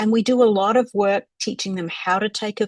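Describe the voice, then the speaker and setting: A woman speaks at a medium pitch and a moderate pace, her voice somewhat breathy with fairly even intonation. The sound is dry and close with no echo, over a quiet background. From Australia. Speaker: crisis line trainer. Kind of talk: panel presentation.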